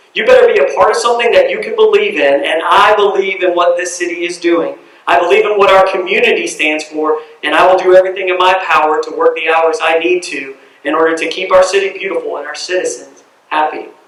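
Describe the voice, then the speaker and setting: A man with a Southern US accent talks very fast. Audible room echo and noticeable background noise fill the recording. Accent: Southern US (Georgia). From US South, Cumming, Georgia. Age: 30s. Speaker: city council candidate. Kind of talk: campaign speech.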